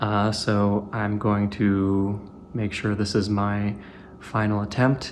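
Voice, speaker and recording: A man talks in a fairly low voice. Room echo can be heard around him. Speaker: tech hobbyist YouTuber. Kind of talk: casual show-and-tell video narration. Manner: monotone; hesitant, many filler words.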